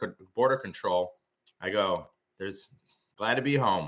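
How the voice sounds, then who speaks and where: A man talks with very wide pitch swings and a bright, sharp tone. The recording is very clean, with a silent background. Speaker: options trader running a live trading room. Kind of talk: live trading stream commentary. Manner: fast.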